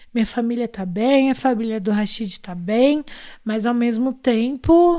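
Very slowly, a woman speaks in a high pitch with a dark, mellow tone. The recording is very clean and the background silent. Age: 30s. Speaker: artist manager and podcast co-host. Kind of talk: casual chat.

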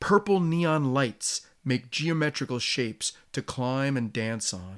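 A man with an American accent and a plain, everyday voice speaks at a medium pitch with lively intonation. The recording is very clean, with a silent background. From US Northeast. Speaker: podcast host and traveler. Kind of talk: scripted narration, storytelling about travel.

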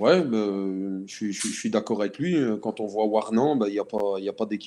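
Here a man talks at a fairly slow pace with a fairly low pitch. His tone is dark and mellow, on a very clean recording with a silent background. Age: 40s. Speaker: football coach. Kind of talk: casual chat.

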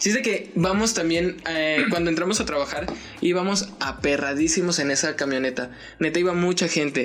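Someone with a Mexican accent speaks at a moderate pace over noticeable background noise. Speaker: podcast co-host. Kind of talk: casual chat.

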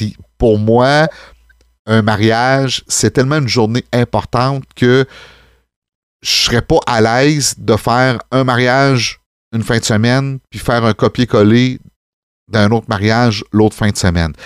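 A man with a Quebec accent speaks at medium pitch and a fairly slow pace, with ordinary pitch variation and long, frequent pauses, in a dry, close sound with no echo on a very clean recording with a silent background. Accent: Québécois French. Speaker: wedding DJ and officiant, podcast host. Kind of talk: casual chat.

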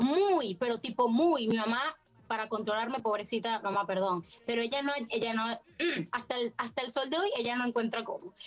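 Here a woman speaks with a Venezuelan accent. Her fairly high pitch has ordinary variation. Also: fairly quick pace. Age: 20s. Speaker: actress. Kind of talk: casual chat.

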